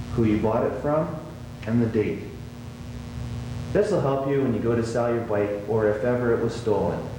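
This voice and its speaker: A man's medium-pitched voice with ordinary pitch variation, amid noticeable background noise. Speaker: motocross racer. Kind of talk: instructional how-to narration. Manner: slow, concise.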